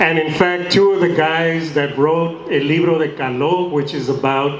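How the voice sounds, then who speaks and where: Amid noticeable background noise and audible room echo, a man speaks at a fairly slow pace with a fairly high pitch and fairly even intonation. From US-Mexico border. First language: Spanish. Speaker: actor. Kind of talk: panel discussion with audience.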